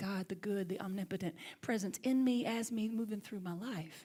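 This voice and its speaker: A woman with a Southern US accent speaks at a fairly quick pace with ordinary pitch variation. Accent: Southern US accent, lighter than Alabama. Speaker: minister. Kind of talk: sermon.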